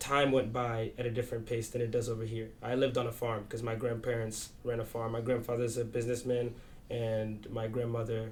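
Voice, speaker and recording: A man speaks at a fairly quick pace and a medium pitch, his intonation monotone and flat. Audible room echo surrounds his voice. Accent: American. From US, Kenyan family, early childhood in Kenya. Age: 20s. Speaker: student and content creator. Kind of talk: documentary interview. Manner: casual, many fillers.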